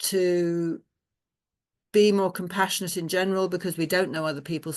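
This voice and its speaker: Against a quiet background, a woman with a fairly low pitch speaks in a fairly even intonation. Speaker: memoir author leading a workshop. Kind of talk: online workshop talk. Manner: fast.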